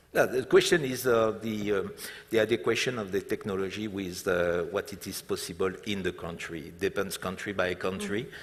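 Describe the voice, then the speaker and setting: A man with a French accent at a moderate pace, loudness swinging widely, on a very clean recording with a silent background. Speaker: hotel group executive. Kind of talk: stage interview. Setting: conference stage with audience. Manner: halting, many fillers.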